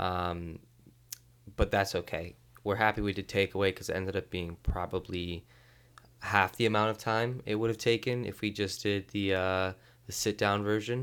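With a normal speaking voice, a man talks at a moderate pace in fairly low pitch and fairly even intonation. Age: 20s. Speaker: HVAC trainee. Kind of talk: casual chat.

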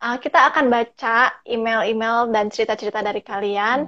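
A woman with an ordinary speaking voice talks at a moderate pace over a quiet background. Her pitch is fairly high and her intonation fairly even. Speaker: podcast host. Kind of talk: casual chat. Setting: video call. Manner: code-switches English often.

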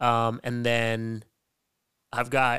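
Recorded very cleanly against a silent background, a man with a medium pitch speaks in a Canadian accent, the sound dry and close with no echo. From western Canada. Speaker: podcast host, poet and spoken word artist. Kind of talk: casual interview chat.

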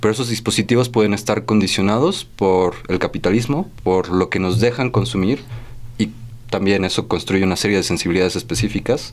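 In a plain, everyday voice, a man speaks at a fairly low pitch with very even loudness. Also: ordinary pitch variation. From San Miguel de Allende, Guanajuato, Mexico. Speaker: visual artist. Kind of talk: radio interview. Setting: radio studio.

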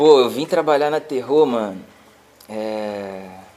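Noticeable background noise beneath a voice of ordinary pitch variation. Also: man. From Baixada Fluminense, Rio de Janeiro. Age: 20s. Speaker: rapper and music producer. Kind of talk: casual interview.

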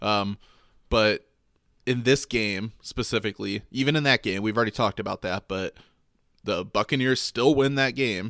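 A plain, everyday voice with an American accent speaks at a moderate pace and with fairly even intonation. The sound is dry and close with no echo, on a very clean recording over a silent background. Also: man. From Michigan. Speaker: sports podcast co-host. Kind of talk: casual chat.

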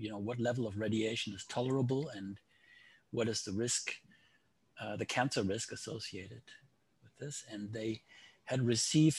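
A somewhat breathy voice with a German accent and fairly even intonation. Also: man. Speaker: statistics professor. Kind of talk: interview.

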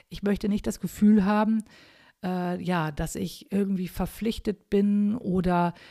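The voice has a dark, mellow tone at a moderate pace. The recording is very clean, with a silent background. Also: woman. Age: 50s. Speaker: podcaster. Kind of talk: solo podcast monologue. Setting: at home overlooking the garden. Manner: casual, with fillers.

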